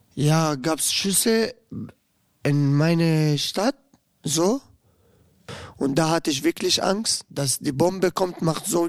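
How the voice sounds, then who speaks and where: A man with an Arabic accent, fairly high in pitch, at a very slow pace with long, frequent pauses. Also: ordinary pitch variation, dry, close sound with no echo. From Syria, Damascus. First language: Arabic (speaking German). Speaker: inmate podcast host. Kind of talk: testimony. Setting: youth prison.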